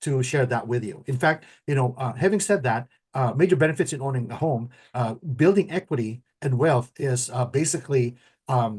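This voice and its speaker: Over a quiet background, a man speaks at a medium pitch and a moderate pace, somewhat breathy, with ordinary pitch variation. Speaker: mortgage professional and show host. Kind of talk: casual talk show discussion. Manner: halting, many repetitions and fillers.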